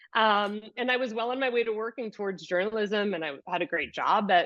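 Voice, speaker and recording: The woman talks at a moderate pace, her pitch varying in an ordinary way. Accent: New York. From US, New York City. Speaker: yoga teacher and movement specialist. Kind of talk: podcast interview.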